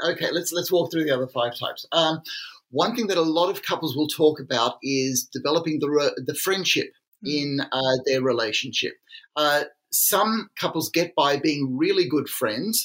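An unremarkable speaking voice, a man's fairly high pitch varies normally as he talks at a moderate pace. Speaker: psychiatrist and author. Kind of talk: casual interview conversation.

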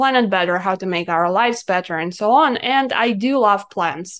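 With a Russian accent and a medium pitch, a woman talks at a moderate pace over a quiet background. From Russia (Siberia). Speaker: cannabis business consultant. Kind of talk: podcast interview.

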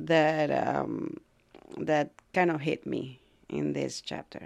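A woman speaks with a Latin American accent. The recording is very clean, with a silent background. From Ecuador. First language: Spanish. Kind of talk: casual interview conversation. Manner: halting, searching for words.

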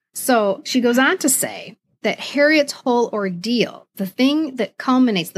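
Over a very clean recording with a silent background, a woman with an American accent sounds somewhat breathy. She speaks at a fairly slow pace with lively intonation. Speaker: podcast host. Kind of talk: casual chat.

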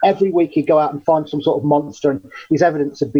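A man's fairly high-pitched voice with a dark, mellow tone and an English accent. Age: 40s. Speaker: cryptozoologist. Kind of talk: interview.

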